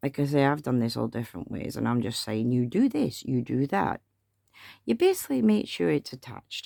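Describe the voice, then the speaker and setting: In a very clean recording with a silent background, a woman mumbles at a fairly quick pace. Her voice is very deep and low, with a dark, mellow tone and ordinary pitch variation. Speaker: craft tutorial maker. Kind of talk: tutorial. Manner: mumbling; chatty.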